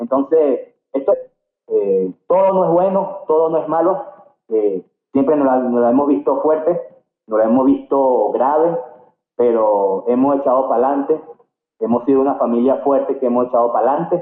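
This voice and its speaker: A man with an unremarkable speaking voice, fairly high in pitch, at a moderate pace with very even loudness and lively intonation. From Venezuela, Barquisimeto (Lara state). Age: 40s. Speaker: karate champion and coach. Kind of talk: interview.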